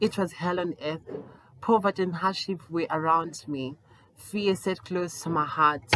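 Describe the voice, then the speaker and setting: A woman speaks at a fairly slow pace, her pitch fairly low and her intonation fairly even. Noticeable background noise runs under her voice. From Zimbabwe, Esigodini near Bulawayo. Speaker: LGBTQI+ rights activist. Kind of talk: personal story reading.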